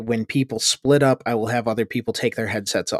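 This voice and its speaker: In an ordinary speaking voice, a man at medium pitch speaks with fairly even intonation. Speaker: tabletop game master and podcast host. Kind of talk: actual-play roleplaying game. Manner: playful.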